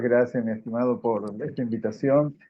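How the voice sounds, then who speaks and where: With a normal speaking voice, a man talks at a fairly slow pace and ordinary pitch variation. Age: 60s. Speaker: audience member. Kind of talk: casual chat.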